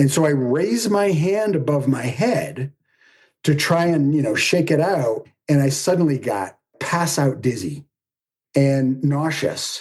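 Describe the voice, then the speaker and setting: A man with a fairly high, somewhat breathy voice speaks fairly slowly with an animated tone, lively intonation, and very even loudness. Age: 60s. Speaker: performer and public speaker, runs online writing program. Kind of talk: personal storytelling in podcast interview.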